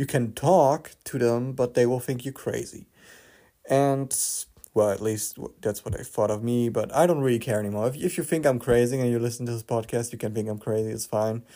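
With a non-native accent, a man speaks at a fairly quick pace in a dark, mellow tone. His intonation is fairly even, on a very clean recording with a silent background. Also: medium pitch for a man. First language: not English. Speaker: spirituality podcaster. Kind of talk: casual monologue.

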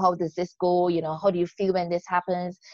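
A woman speaks with a Barbadian accent at a medium pitch. The sound is dry and close with no echo. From Barbados. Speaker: podcast host and life coach. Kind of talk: interview conversation.

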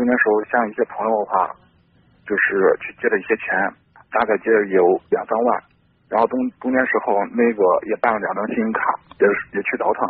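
At a fairly quick pace, a man talks with long, frequent pauses. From Henan, Xinzheng. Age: 20s. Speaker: young entrepreneur calling for advice. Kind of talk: phone-in advice call. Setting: phone call. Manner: halting.

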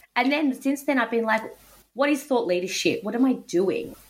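Through noticeable background noise, a woman with an Australian accent speaks at a fairly high pitch with lively intonation. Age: 30s. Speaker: podcast host and lawyer. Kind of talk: interview.

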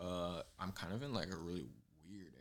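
Vocal fry is heard in this voice. It carries an American accent. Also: man. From Southern California. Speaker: clothing designer. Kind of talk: casual chat. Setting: home studio in a living room.

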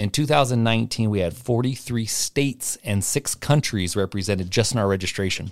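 A man's medium-pitched, a normal speaking voice with an American accent, fairly quick with hardly any pauses, ordinary pitch variation, and a very clean recording over a silent background. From Portland, Oregon. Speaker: basketball tournament director, former college player. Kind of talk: casual chat.

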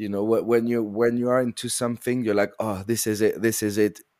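A man's medium-pitched voice in a French accent, flat and monotone, at a moderate pace. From France, French Alps. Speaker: sound designer and composer. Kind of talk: casual chat.

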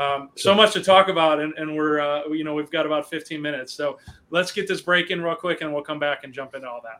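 A man's fairly high, bright, sharp voice with an American accent, at a very fast pace with big swings in loudness. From US Midwest, Chicago area. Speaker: podcast host, property management business owner. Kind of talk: casual talk show interview. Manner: frequent fillers and repetitions.

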